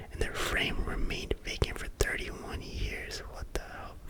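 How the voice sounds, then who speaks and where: Fairly slow whispering over noticeable background noise. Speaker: ASMR creator. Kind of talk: true crime reading. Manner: whispered.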